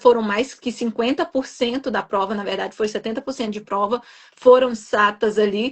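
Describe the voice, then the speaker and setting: Fairly even intonation and fairly high pitch from a woman with a normal speaking voice. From Brazil, Minas Gerais. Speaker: nurse and exam prep coach. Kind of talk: live-stream interview. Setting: online live stream.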